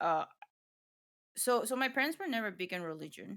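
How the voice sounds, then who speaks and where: A woman speaks with lively intonation in a non-native accent. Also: very clean recording, silent background. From Ecuador. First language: Spanish. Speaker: streamer. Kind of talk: casual chat. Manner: halting.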